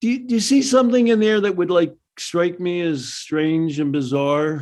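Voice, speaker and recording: A man talks at a moderate pace with a high pitch. His pitch swings very widely. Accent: American. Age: 70s. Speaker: psychologist. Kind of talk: casual chat. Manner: halting.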